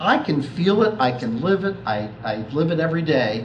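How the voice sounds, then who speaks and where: A man's lively intonation comes through noticeable background noise and audible room echo. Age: 50s. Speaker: accountant and family business advisor. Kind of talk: talk to an audience.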